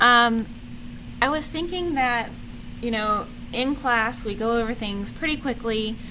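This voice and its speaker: A woman's fairly high pitch with ordinary pitch variation, at a fairly slow pace with long, frequent pauses and audible room echo. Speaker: teacher. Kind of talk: lecture.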